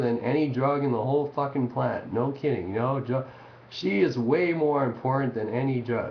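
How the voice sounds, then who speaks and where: Audible room echo surrounds a man's voice. He speaks at a medium pitch with ordinary pitch variation. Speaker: amateur experimental artist. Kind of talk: casual webcam monologue.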